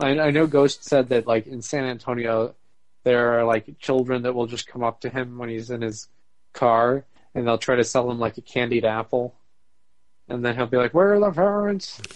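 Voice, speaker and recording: This man has an ordinary speaking voice with an American accent. He talks at a moderate pace with ordinary pitch variation. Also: medium pitch for a man. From Arizona (Phoenix area). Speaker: podcast co-host. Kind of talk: casual chat.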